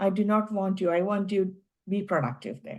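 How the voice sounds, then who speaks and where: A woman with an Indian accent, medium pitch and a moderate pace over a quiet background. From India, Kerala. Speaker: tech executive. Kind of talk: interview. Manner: halting.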